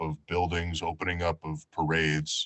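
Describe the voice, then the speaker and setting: With an American accent and very deep, low pitch, a man talks at a moderate pace. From New York. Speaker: professional audiobook and voiceover narrator. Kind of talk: talk to a community group.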